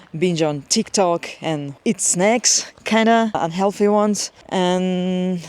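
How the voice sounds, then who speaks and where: A woman speaks with a non-native accent. Her fairly low voice holds fairly even intonation. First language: not English. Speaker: lifestyle vlogger, IT worker. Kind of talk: casual vlog monologue. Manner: casual, with fillers and hesitations.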